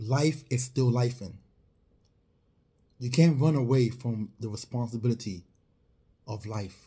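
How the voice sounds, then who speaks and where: Speaking fairly slowly at a medium pitch, a man has ordinary pitch variation and a dark, mellow, somewhat breathy tone. Long pauses come often. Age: 40s. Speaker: financial advisor selling insurance and retirement plans. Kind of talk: motivational talk to camera. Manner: animated.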